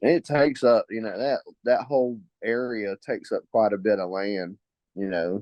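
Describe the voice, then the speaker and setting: Speaking with a Southern accent at a moderate pace, a man uses a medium pitch and ordinary pitch variation. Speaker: guest, longtime basketball fan. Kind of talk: casual chat.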